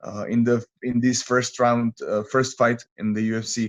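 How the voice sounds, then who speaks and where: Someone with a Czech accent speaks at a very slow pace in a monotone, flat intonation. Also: man. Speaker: MMA fighter. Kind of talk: interview. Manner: halting.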